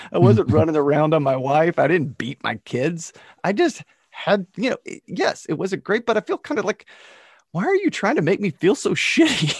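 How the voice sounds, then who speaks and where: The sound is dry and close with no echo as a man speaks at a moderate pace, with a high pitch and very wide pitch swings. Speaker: podcast host. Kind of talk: casual chat.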